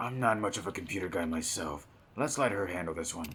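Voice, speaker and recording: Over clear background noise, a man does a raspy, put-on character voice pitched very deep and low, talking at a very fast pace with lively intonation. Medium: game stream.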